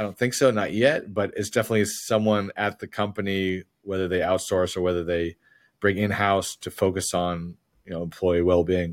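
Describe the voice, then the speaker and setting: At a moderate pace and fairly low pitch, this man talks in a plain, everyday voice. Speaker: podcast host. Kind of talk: interview conversation. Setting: remote call.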